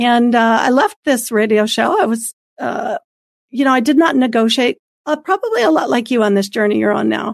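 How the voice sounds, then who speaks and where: Recorded with a dry, close sound and no echo, a woman with a fairly high pitch speaks at a moderate pace in an unremarkable speaking voice. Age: 50s. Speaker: former radio co-host, ministry guest. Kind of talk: testimony.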